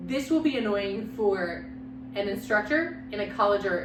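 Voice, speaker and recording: With audible room echo and noticeable background noise, a woman speaks at a medium pitch and moderate pace using lively intonation. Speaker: communication instructor. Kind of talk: lecture. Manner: varied pitch and intonation.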